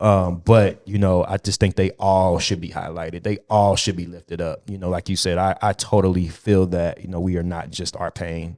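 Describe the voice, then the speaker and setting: On a very clean recording with a silent background and a dry, close sound with no echo, a man with a very deep, low pitch and dark, mellow tone speaks in a monotone, flat way at a moderate pace with hardly any pauses. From US Midwest, Cincinnati. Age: young. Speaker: podcast host. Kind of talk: casual interview chat.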